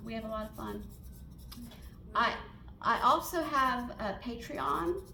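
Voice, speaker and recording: In a Southern US accent, a woman speaks at a fairly slow pace with long, frequent pauses, her loudness swinging widely, and the room echo is audible. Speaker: portrait artist and painting teacher. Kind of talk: Q&A at a member meeting. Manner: halting, many fillers.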